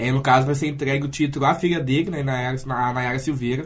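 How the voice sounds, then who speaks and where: A man's somewhat breathy voice at a fairly high pitch comes through with audible room echo. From Santa Cruz do Sul, Rio Grande do Sul, Brazil. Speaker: literature student and activist. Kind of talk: radio interview.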